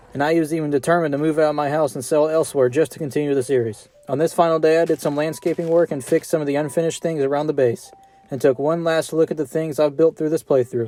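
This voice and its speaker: Over noticeable background noise, a man talks at a very fast pace with hardly any pauses, a fairly high pitch and fairly even intonation, in a dry, close sound with no echo. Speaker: gaming YouTuber. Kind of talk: scripted narration. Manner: monotone.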